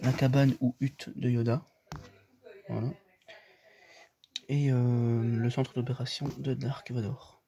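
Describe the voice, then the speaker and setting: A man whispers quietly at a very slow pace. Long, frequent pauses break up his speech. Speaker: youtuber showing toy collection. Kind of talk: casual room tour video. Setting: at home, in bedroom. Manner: whispering, speaks very quietly; hesitant, many fillers.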